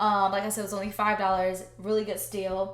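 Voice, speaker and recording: The woman's voice is medium in pitch, with audible room echo. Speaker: home decor vlogger. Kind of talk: casual vlog talk to camera.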